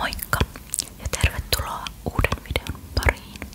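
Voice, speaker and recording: Very slowly, a woman whispers while noticeable noise fills the background. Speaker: ASMR creator. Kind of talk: ASMR show-and-tell of bag contents. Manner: whispered.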